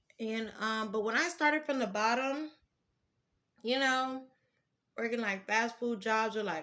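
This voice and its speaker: A woman speaks loudly in a bright, sharp tone. Her pace is moderate and her pitch varies in an ordinary way. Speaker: vlogger. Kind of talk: casual vent, story time. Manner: loud, projecting voice.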